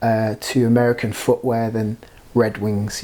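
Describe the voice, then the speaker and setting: With a British accent, this man speaks at a moderate pace in a medium pitch. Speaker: product reviewer. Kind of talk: product review. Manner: hesitant, many fillers.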